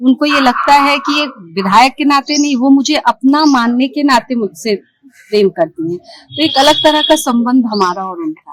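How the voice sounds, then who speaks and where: In a dry, close sound with no echo, a woman speaks at a high pitch with hardly any pauses, very wide pitch swings and big swings in loudness. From eastern Uttar Pradesh (Ballia, Bhojpuri region). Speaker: politician. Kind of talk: interview.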